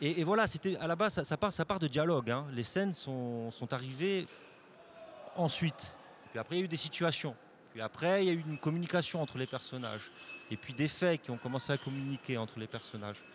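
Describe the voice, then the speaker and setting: A fairly high-pitched male voice, fairly quick and lively in intonation, over noticeable background noise. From Corsica. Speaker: film director and actor. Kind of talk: interview. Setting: festival studio. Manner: halting, many repeated words.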